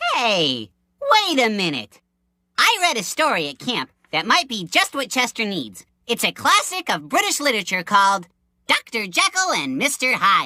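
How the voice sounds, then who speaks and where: A cartoonish character voice, fairly high in pitch, at a moderate pace. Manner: cheerful, rambling.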